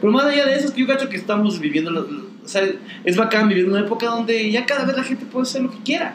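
A man speaks at an extremely high pitch and a very fast pace. Audible room echo and noticeable background noise surround him. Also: ordinary pitch variation. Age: 40s. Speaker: comedian. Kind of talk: casual chat.

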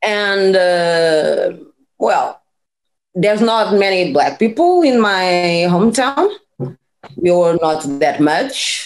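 Over music in the background, a woman with a Portuguese accent speaks at a very slow pace with long, frequent pauses, lively intonation, very even loudness and a medium pitch. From Portugal. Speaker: PhD scientist and former nurse. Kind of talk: interview conversation. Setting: video call.

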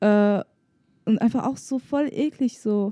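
A fairly high-pitched woman speaks with lively intonation and a dark, mellow, somewhat breathy tone. The sound is dry and close, with no echo. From Germany. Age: 20s. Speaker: podcast co-host. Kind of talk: casual chat.

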